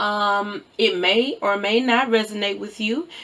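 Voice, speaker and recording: A woman speaks with a Southern US accent. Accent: Southern, country. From US South. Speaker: tarot reader. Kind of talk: tarot reading. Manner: energetic, caffeinated, stumbling over words.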